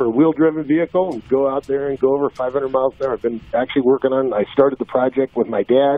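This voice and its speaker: Over noticeable background noise, a man talks fairly quickly in a fairly high voice with fairly even intonation. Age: 50s. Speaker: drag racer and driving-safety program founder. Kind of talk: interview. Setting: phone call.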